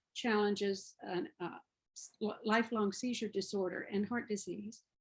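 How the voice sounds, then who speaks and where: Her voice is somewhat breathy. This woman speaks at a fairly high pitch with ordinary pitch variation. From US South. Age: 70s. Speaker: parent advocate, program coordinator. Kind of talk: webinar presentation.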